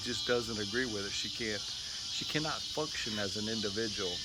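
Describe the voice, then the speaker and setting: Music plays in the background as a man talks at medium pitch with ordinary pitch variation, with audible room echo. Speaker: YouTuber, cigar reviewer. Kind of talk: casual storytelling. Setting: outdoors, backyard. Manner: loud.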